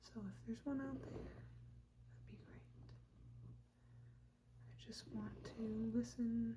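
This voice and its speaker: Very slow, soft-spoken speech broken by long, frequent pauses. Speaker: ASMR creator. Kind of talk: casual ramble to camera, ASMR video.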